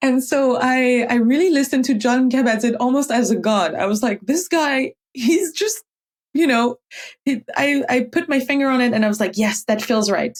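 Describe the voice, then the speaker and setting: High-pitched woman in a French accent, very even loudness. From France. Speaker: meditation teacher. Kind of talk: interview conversation. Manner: halting, with fillers; animated.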